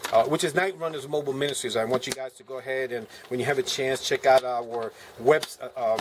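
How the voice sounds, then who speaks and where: A man talks at a very fast pace with a medium pitch and big swings in loudness. Background noise is noticeable. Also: ordinary pitch variation. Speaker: preacher and survivalist video maker. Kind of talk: gear show-and-tell video. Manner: casual with many fillers.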